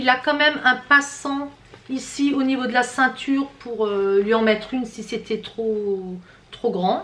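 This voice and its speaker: A woman talks loudly at a high pitch and a very slow pace. Noticeable background noise is present. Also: ordinary pitch variation. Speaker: fashion haul youtuber. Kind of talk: product review. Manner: casual. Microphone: far from the camera.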